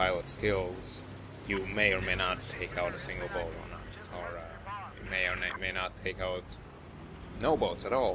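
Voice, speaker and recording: A man with a non-native accent and a very deep, low voice speaks at a moderate pace, with audible room echo and noticeable background noise. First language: not English. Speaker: gaming commentator. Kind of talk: gameplay commentary. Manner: halting. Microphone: cheap mic.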